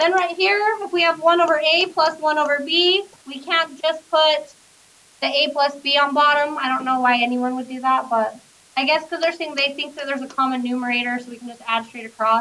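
This woman's high-pitched voice has a bright, sharp tone, raised and projected, with big swings in loudness. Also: ordinary pitch variation, fairly quick pace. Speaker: math teacher. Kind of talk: classroom lecture. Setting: classroom with students. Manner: conversational, checks in with class.

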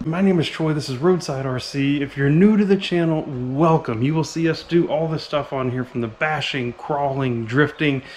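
A man talks at a moderate pace, his pitch varying an ordinary amount, with light noise in the background. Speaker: RC hobby channel host. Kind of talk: casual vlog chat. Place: garage. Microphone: phone near.

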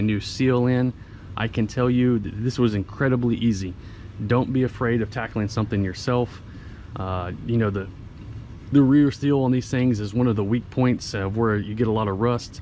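Light background noise sits under a dry sound with no echo. A man speaks at a moderate pace with fairly even intonation. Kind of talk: casual walk-around explanation. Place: street. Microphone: phone near.

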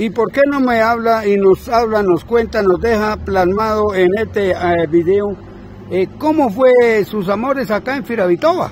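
A man speaks with a high pitch and lively intonation at a fairly slow pace. The sound is dry with no echo, and there is light background noise. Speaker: interviewer, local video host. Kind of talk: casual interview questions. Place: street. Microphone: phone near.

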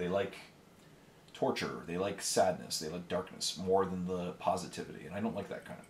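In a Canadian accent, a man speaks with a very deep, low pitch, with audible room echo and light background noise. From Canada. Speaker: miniature painting YouTuber. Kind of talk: casual solo talk while painting. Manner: animated. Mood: relaxed, opinionated.

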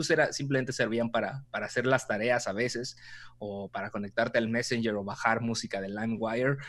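Talking at a very fast pace, a man with a Mexican accent is heard in a dry sound with no echo. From Mexico. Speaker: content creator and storytelling expert; content creator. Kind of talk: interview conversation. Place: home room. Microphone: video call.

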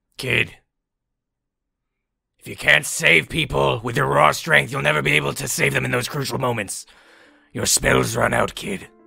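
A man puts on a raspy character voice with a very deep, low pitch, speaking at a moderate pace with long, frequent pauses. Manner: gruff, barking, coaching.

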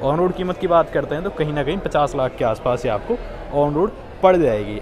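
A man speaks at a moderate pace with ordinary pitch variation. Clear music plays in the background. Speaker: car reviewer. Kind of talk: product review commentary. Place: shop. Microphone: phone near.

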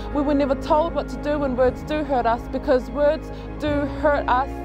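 A woman talks at a fairly quick pace over clear background music, the sound dry with no echo. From New Zealand. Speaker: spoken word poet. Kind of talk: spoken word poetry. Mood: earnest, reflective. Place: beach.

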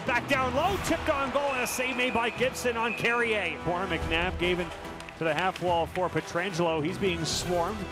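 Clear music sounds in the background while a man moves along at a fairly quick pace. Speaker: hockey radio play-by-play announcer. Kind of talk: live hockey play-by-play radio call. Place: stadium. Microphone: headset.

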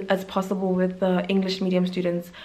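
A woman speaking at a fairly quick pace. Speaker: medical intern and YouTuber. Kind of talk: vlog monologue. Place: home room. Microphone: phone near.

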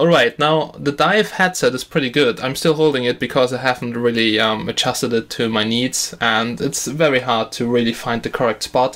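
The man speaks at a medium pitch and a moderate pace. His intonation is fairly even, with few pauses. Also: fairly bright tone.

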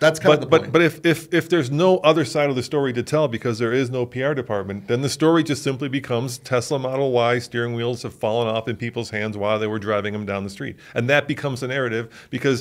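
A man speaks at a very fast pace, barely pausing at all. His pitch varies in an ordinary way against a quiet background. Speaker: podcast host. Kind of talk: podcast discussion. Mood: indignant, critical. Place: studio. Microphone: studio mic.

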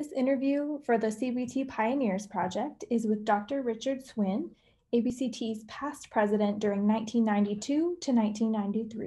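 A woman with a fairly high pitch and a dark, mellow tone talks very slowly and somewhat breathily against a quiet background. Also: ordinary pitch variation. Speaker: interviewer. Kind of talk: interview.

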